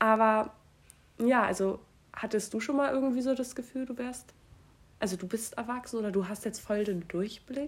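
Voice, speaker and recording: Somewhat breathy and fairly high, a woman's voice moves at a moderate pace with ordinary pitch variation and long, frequent pauses. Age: 20s. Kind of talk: casual chat.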